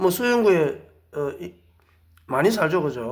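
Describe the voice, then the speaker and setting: A man with a Busan accent, a moderate pace and lively intonation, plus audible room echo. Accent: Gyeongsang (Busan) dialect. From South Korea, Busan. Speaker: lecturer, ex-marine volunteer, wedding photographer. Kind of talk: monologue lecture. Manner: hesitant with frequent fillers; emphatic, indignant.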